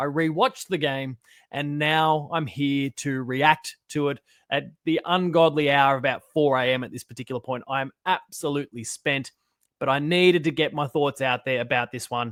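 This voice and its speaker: A man speaks with an Australian accent and a fairly high pitch. His tone is animated and his pace moderate. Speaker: football fan channel host. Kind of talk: post-match reaction monologue.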